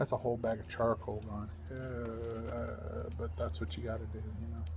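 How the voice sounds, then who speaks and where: Amid audible room echo, a man with an American accent speaks with lively intonation. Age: 40s. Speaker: vlogger. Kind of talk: casual vlog talk. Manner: halting, many fillers.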